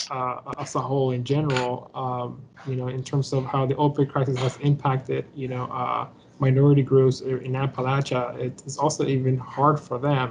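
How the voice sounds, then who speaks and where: The speaker has a Spanish accent and a moderate pace. Noticeable background noise is present. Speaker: academic panelist. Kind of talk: conference panel talk. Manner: halting, many fillers.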